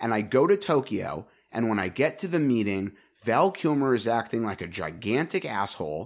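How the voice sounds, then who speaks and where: On a very clean recording with a silent background, a man talks at a moderate pace in an animated tone with very wide pitch swings. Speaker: podcast co-host. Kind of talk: casual comedic banter about a movie. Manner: joking, animated.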